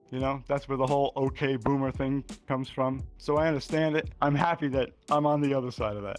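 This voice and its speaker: Music plays behind a man with a fairly high pitch who talks at a fairly quick pace. He leaves hardly any pauses, and his intonation is fairly even. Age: 60s. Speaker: VR gamer. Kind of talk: interview answer.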